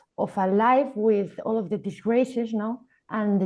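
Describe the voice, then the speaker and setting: A woman with a Spanish accent in a dark, mellow tone, at a moderate pace against a quiet background. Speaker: filmmaker. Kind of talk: artist talk. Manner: halting.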